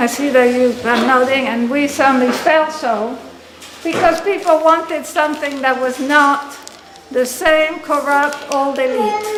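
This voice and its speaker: Noticeable background noise runs under the speech, and the room echo is audible. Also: woman. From Argentina. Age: 60s. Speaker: activist. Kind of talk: public speech. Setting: forum with audience. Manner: conversational, frequent fillers.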